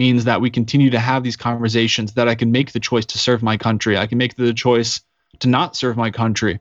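An unremarkable speaking voice with an American accent at a fairly quick pace. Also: man. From Colorado. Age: 30s. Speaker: Navy veteran and podcaster. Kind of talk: interview.

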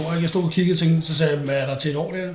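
Over noticeable background noise and audible room echo, a man with a fairly high pitch speaks at a very fast pace with fairly even intonation. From Danish provinces. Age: 40s. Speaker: former bodybuilder and steroid user. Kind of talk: casual chat.

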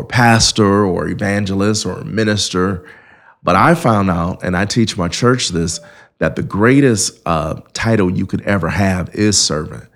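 With an American accent, a man speaks in a plain, everyday voice at a fairly slow pace. Pitch variation is ordinary, and the recording is very clean with a silent background. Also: fairly low pitch for a man. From Indiana, South Bend. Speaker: pastor. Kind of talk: interview.

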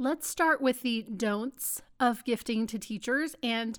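An animated woman with an American accent speaks fairly slowly at a fairly high pitch, with ordinary pitch variation, on a very clean recording with a silent background. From Texas. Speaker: podcast host, small business owner. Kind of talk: solo podcast monologue.

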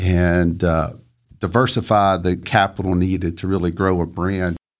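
Speaking at a fairly slow pace in a Southern US accent, a man has a very deep, low voice, recorded very cleanly over a silent background. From US South, northwest Georgia. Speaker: entrepreneur. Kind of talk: interview.

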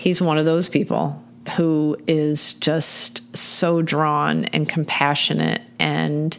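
A woman with an American accent talks at a very slow pace and very even loudness over noticeable background noise. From Michigan. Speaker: animal welfare nonprofit director. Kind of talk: casual interview.

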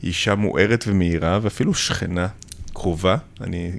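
A man is speaking. His pace is moderate. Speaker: plastic surgeon, podcast host. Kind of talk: interview. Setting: studio.

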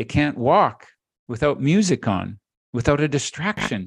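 A man has a plain, everyday voice, fairly high in pitch with lively intonation. He talks at a moderate pace against a quiet background. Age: 60s.

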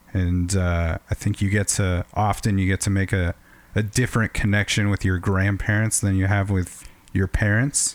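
At a moderate pace and very even loudness, a man speaks in a fairly low pitch with monotone, flat intonation. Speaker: podcast co-host. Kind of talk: casual interview chat.

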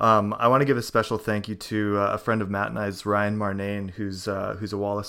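A man with a Canadian accent talks at a fairly quick pace with hardly any pauses, his fairly low voice bright and sharp in tone yet monotone and flat, in a very clean recording with a silent background. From Canada. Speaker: podcast host. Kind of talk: casual chat.

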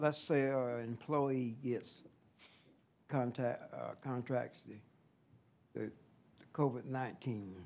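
In a Southern US accent, the speaker talks at a very slow pace with fairly even intonation, long, frequent pauses and big swings in loudness. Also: man, medium pitch for a man. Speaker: county commissioner. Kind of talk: public meeting.

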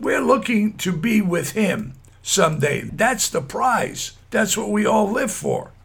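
Over noticeable background noise, a man with a high pitch speaks at a very slow pace with lively intonation. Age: 70s. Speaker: ministry podcast host. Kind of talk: devotional talk. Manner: fervent, exhortative.

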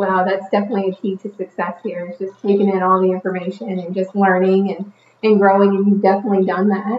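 Her delivery is very fast and monotone, with flat intonation. The woman's pitch is medium. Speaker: podcast host. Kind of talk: casual interview chat. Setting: studio.

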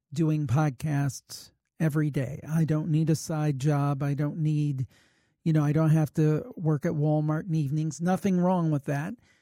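In an unremarkable speaking voice, a man talks at a moderate pace with very even loudness and fairly even intonation, in a dry, close sound with no echo. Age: 50s. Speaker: paranormal podcaster. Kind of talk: interview.

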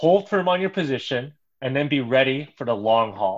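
This man has a Chicago accent. He speaks at a moderate pace and medium pitch. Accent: Chicago American English. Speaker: pastor. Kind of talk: casual chat.

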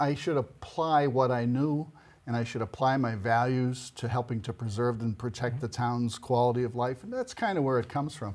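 An ordinary speaking voice from a man with an American accent, medium pitch, moderate pace and ordinary pitch variation. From Boston area, Massachusetts. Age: 60s. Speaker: local election candidate. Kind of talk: interview.

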